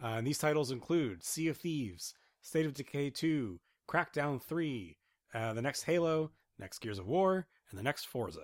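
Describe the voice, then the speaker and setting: With a normal speaking voice, a man talks at a moderate pace in a fairly high pitch, his intonation lively. The recording is very clean and the background silent. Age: 30s. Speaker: video game podcast co-host. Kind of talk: casual chat.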